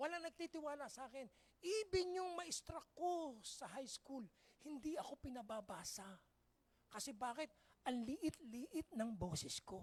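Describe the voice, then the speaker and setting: A loud voice with an animated tone moves at a fairly slow pace. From Philippines. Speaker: pastor. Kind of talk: sermon.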